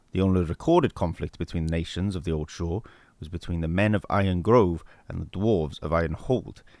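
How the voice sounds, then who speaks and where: The delivery moves at a fairly quick pace with fairly even intonation, on a very clean recording with a silent background. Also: man. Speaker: voice-over artist. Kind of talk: fantasy lore narration.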